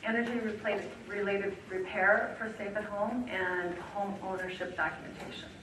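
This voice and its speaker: The speech comes at a moderate pace with monotone, flat intonation. There is audible room echo and noticeable background noise. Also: woman, medium pitch for a woman. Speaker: energy assistance program trainer. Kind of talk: training presentation. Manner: soft-spoken.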